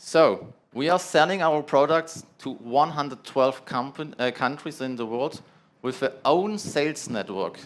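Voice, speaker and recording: In a strong German accent, a man with a fairly high pitch speaks fairly slowly with ordinary pitch variation, recorded very cleanly against a silent background. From Germany. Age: 30s. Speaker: product manager presenting at a trade summit. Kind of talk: conference presentation. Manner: halting, with filler sounds.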